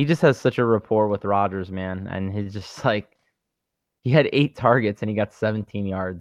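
A man with an unremarkable speaking voice talks at a moderate pace in a fairly low pitch, with ordinary pitch variation. The background is quiet and the sound is dry and close, with no echo. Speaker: sports betting podcast co-host. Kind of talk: casual chat.

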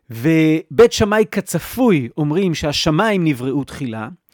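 A man speaks slowly-ish at a fairly slow pace and a fairly high pitch, with very wide pitch swings. The recording is very clean with a silent background and a dry, close sound with no echo. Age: 40s. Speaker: podcast host and author. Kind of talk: solo podcast monologue.

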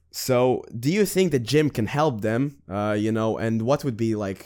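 This is a man with a normal speaking voice at medium pitch, using ordinary pitch variation at a fairly slow pace. The recording is very clean, with a silent background. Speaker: podcast host. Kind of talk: casual interview chat. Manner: upbeat, playful.

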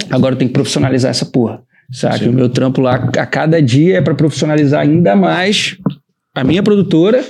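A man speaks at a very fast pace and a fairly high pitch, with lively intonation. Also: very even loudness. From Rio de Janeiro, Brazil. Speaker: designer and production company partner. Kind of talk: casual chat.

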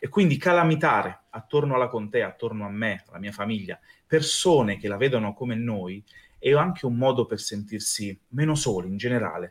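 In an ordinary speaking voice, a man at medium pitch talks at a fairly quick pace with lively intonation and big swings in loudness. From Abruzzo, Italy. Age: 30s. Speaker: pastry chef and fantasy event creator. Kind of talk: podcast interview.

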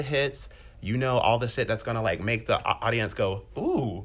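An animated, somewhat breathy voice at a moderate pace with ordinary pitch variation. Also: man. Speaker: podcast co-host. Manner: animated, casual.

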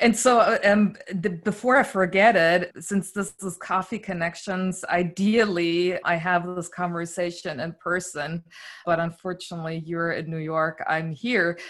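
Speaking at a fairly slow pace, a woman with a German accent has a fairly low pitch and fairly even intonation. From East Berlin, Germany. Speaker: podcast host. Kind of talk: casual interview.

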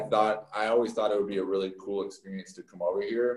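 A fairly low-pitched man with an American accent, a normal speaking voice, and fairly even intonation. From Texas. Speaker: professional baseball pitcher. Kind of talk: interview. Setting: remote call.

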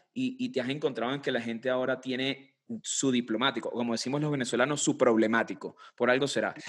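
The man's intonation is monotone and flat at a medium pitch. He talks at a very fast pace. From Venezuela. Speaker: podcast host. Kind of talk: interview conversation.

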